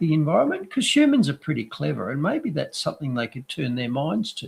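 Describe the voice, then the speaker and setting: This is a man with an Australian accent. He speaks at a fairly quick pace. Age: 60s. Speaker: doctor and news commentator. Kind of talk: casual chat. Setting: live stream.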